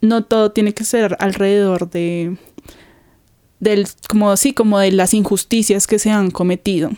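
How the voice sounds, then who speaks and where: A woman's medium-pitched voice, dark and mellow in tone, with fairly even intonation at a fairly slow pace, in a dry, close sound with no echo and a very clean recording against a silent background. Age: 20s. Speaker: dancer. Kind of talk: interview.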